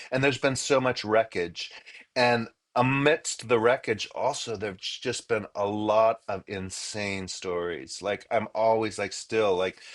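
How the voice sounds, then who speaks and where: Speaking at a fairly slow pace with an American accent, a man uses an ordinary speaking voice, fairly low in pitch, with ordinary pitch variation. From Los Angeles, US. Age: 60s. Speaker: musician and author. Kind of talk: interview. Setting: in a car. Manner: casual, filler-heavy.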